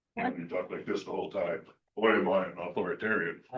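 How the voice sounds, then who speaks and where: In a put-on character voice, a man speaks at a very fast pace. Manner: exaggerated authoritative, pompous.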